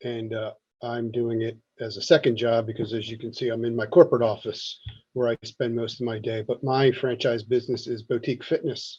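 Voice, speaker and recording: A man's dark, mellow, somewhat breathy voice at medium pitch, flat and monotone, at a fairly quick pace. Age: 60s. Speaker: audience member, franchise owner. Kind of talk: panel discussion. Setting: video call from office.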